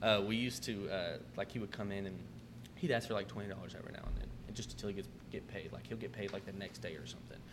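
A man's fairly low voice with vocal fry, very wide pitch swings and a very fast pace, in audible room echo. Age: 20s. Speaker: restaurant manager. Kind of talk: casual chat.

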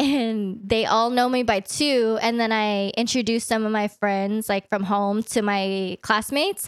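A woman with a Californian accent, fairly slow with hardly any pauses, fairly even intonation and very even loudness, in a very clean recording with a silent background. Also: fairly high pitch for a woman. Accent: Californian American English. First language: Vietnamese. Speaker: podcast guest. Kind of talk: casual chat.

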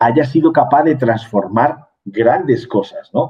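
A man speaks in a somewhat breathy voice. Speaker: business executive and mentor. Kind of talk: interview conversation.

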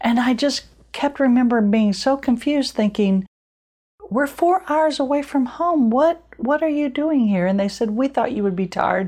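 The tone is dark and mellow, with lively intonation. Loudness stays very even throughout. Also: woman, high pitch for a woman, moderate pace. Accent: American. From Illinois. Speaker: podcast host, women's ministry leader. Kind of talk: casual chat. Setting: at guest's home.

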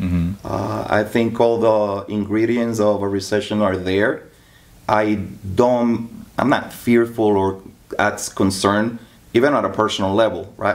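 An unremarkable speaking voice from a man, fairly low in pitch, fairly slow, and fairly even in intonation. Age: 40s. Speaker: loan officer. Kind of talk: casual interview.

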